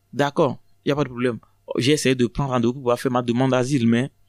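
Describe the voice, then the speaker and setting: On a very clean recording with a silent background, a man speaks at a medium pitch with fairly even intonation, the sound dry and close with no echo. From Togo, Lomé. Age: 30s. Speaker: asylum seeker. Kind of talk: testimony. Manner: halting.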